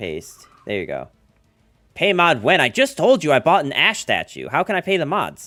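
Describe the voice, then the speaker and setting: A man with an American accent speaks at a high pitch with very wide pitch swings. The sound is dry and close with no echo, and music plays in the background. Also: moderate pace. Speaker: video game streamer. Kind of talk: casual live stream commentary. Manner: casual, conversational.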